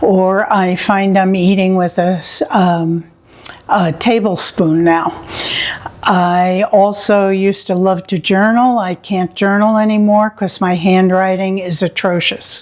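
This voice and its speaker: With an American accent, a woman talks at a very slow pace in a monotone, flat delivery, her loudness very even over noticeable background noise. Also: medium pitch for a woman. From New York City (Queens). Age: 70s. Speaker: patient. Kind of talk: testimony.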